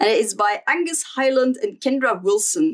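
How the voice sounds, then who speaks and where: With a Flemish Belgian accent, a woman speaks in a high pitch that makes very wide pitch swings. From Flanders, Belgium. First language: Dutch. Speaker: stationery YouTuber. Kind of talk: casual vlog flip-through. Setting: home desk filming. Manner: casual with frequent fillers.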